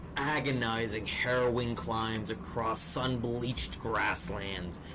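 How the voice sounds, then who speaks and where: Noticeable background noise sits under a man's voice. He talks at a fairly slow pace with a fairly low pitch. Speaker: fantasy storyteller. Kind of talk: epic fantasy story narration.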